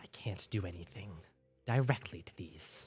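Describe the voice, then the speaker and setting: A man speaks in a put-on character voice with a very deep, low pitch. His pace is moderate. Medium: actual play. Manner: condescending, sharp.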